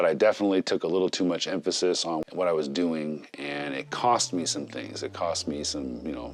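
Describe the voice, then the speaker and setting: A man's very deep, low voice at a fairly quick pace, ordinary pitch variation, hardly any pauses, and music in the background. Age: 40s. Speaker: YouTuber and podcast host. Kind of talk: casual talk to camera.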